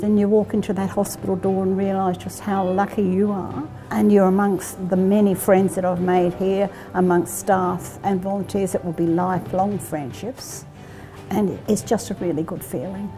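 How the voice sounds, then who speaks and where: A woman at a moderate pace with fairly even intonation, music playing in the background. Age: 80s+. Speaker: hospital volunteer. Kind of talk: interview answer. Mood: warm, reflective. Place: hall.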